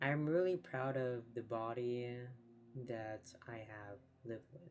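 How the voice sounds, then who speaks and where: A soft-spoken man talks at a very slow pace. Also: medium pitch for a man, ordinary pitch variation, big swings in loudness. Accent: American. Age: 30s. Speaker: streamer. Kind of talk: casual chat.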